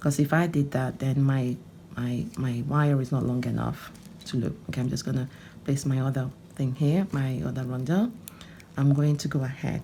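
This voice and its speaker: At a moderate pace, a woman with a very deep, low pitch speaks with ordinary pitch variation. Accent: Nigerian. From Nigeria (Onitsha, Anambra). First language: Igbo. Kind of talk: tutorial. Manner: animated.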